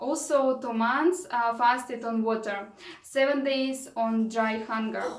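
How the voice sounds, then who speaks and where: A woman with a Russian accent speaks fairly slowly in a high voice, her pitch varying in an ordinary way. Noticeable background noise and audible room echo surround her. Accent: non-native English, Russian. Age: 30s. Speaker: vlogger, raw food advocate. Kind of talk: vlog monologue. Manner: halting.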